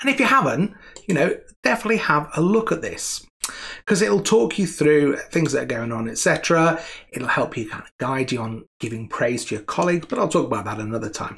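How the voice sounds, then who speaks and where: Over a quiet background, a man talks at a fairly quick pace. His pitch swings very widely. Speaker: presenter. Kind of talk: tutorial. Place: home room.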